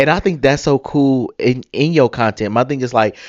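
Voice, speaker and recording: A man with an American accent talks at a fairly quick pace in a fairly high pitch, his tone animated. The sound is dry and close with no echo, over a quiet background. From United States. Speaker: podcast host. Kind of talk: casual interview chat.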